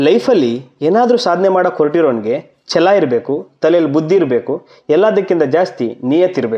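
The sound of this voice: With lively intonation, a man speaks at a fairly high pitch. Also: moderate pace.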